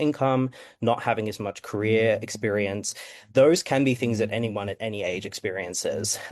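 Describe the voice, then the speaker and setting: Against a quiet background, a man with an Australian accent and fairly low pitch speaks at a moderate pace with fairly even intonation. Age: 20s. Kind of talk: panel discussion. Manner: hesitant, many fillers.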